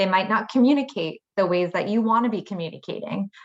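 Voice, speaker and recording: A woman speaks at a medium pitch with a slight Minnesota accent. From Minnesota, US. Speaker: engineer on a women in STEM panel. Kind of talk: panel discussion. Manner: halting, many fillers.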